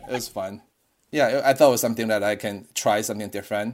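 Recorded very cleanly against a silent background, a man speaks with a fairly low pitch and fairly even intonation. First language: not English. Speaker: surgeon and fellowship program director. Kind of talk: informal interview chat.

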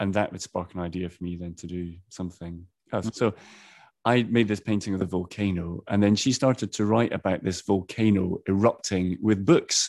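Speaking at a moderate pace, a man has a very deep, low pitch. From Edinburgh, Scotland. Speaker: artist and art teacher. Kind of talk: casual interview chat.

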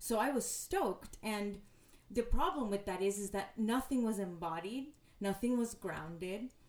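Pitched fairly high, a woman talks at a moderate pace with ordinary pitch variation. She has an ordinary speaking voice. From US, Mexican-American family. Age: 30s. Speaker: yoga teacher and poet. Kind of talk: personal testimony in interview.

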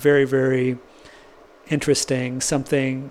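Noticeable background noise runs under a man speaking at a moderate pace. He has an American accent and a fairly high pitch. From US West Coast, San Francisco Bay Area. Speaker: experimental guitarist. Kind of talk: casual interview.

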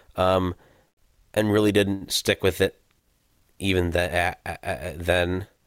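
In a very clean recording with a silent background, a man with a Midwestern American accent talks at a fairly slow pace, his very deep, low voice staying monotone and flat, broken by long, frequent pauses. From US Midwest, St. Louis, Missouri. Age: 20s. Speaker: blind hockey player and retail worker. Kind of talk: casual interview. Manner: hesitant, many fillers.

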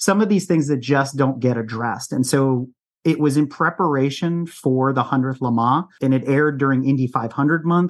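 A man talks in an unremarkable speaking voice with an American accent, fairly high in pitch. His loudness stays very even against a quiet background. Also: ordinary pitch variation, moderate pace. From US East Coast. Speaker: car podcast host and racing instructor. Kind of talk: casual interview chat.

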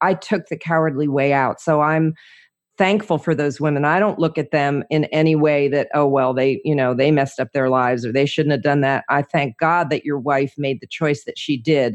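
Speaking at a moderate pace, a woman with an American accent has a very deep, low pitch and fairly even intonation. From New Jersey. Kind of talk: interview, personal testimony.

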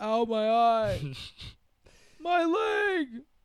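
Using a put-on character voice, a man pitches his speech extremely high. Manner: cartoonish; distressed.

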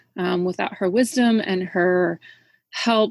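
Fairly slow female speech with ordinary shifts in pitch. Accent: Midwestern US. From Iowa. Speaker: shop owner, entrepreneur. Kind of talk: interview conversation.

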